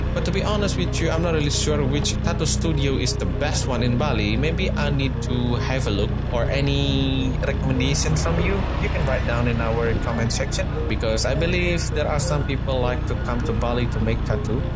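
A man talks at a fairly quick pace. Behind him, music is playing. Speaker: local driver vlogger. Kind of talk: casual tour commentary. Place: motorbike.

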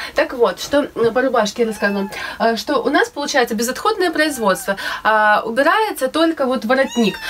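This woman's high voice moves through very wide pitch swings at a moderate pace. Her loudness stays very even over light background noise. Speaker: DIY sewing vlogger; DIY fashion vlogger. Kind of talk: casual tutorial vlog. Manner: hesitant with fillers. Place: home room. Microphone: phone near.

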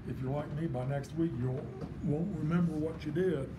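Noticeable background noise sits under a man talking at a moderate pace, his pitch varying in an ordinary way. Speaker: art teacher. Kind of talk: tutorial. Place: classroom. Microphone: camera far.

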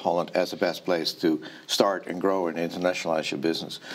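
Someone speaks at a fairly quick pace with a Dutch accent. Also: man. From Netherlands. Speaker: startup ecosystem representative. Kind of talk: interview. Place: studio.

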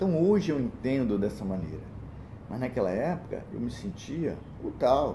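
Background noise is noticeable as a man talks at a fairly slow pace. His pitch swings very widely. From Brazil, small interior town. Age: 60s. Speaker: church deacon giving a talk. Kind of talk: personal testimony talk. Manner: halting, with repetitions. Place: home room. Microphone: phone near.

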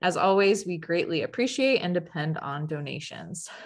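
The woman's speech proceeds at a moderate pace. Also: quiet background. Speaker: educator, webinar host. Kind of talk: webinar introduction. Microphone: webcam.

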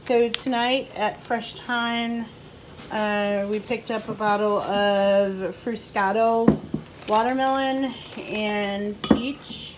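Very slowly and with fairly even intonation, a woman speaks over light background noise. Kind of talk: casual vlog chat. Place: home room. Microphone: phone near.

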